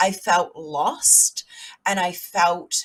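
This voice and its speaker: With a New Zealand accent, a woman speaks in a somewhat breathy voice. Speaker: mindset coach and speaker. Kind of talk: motivational talk.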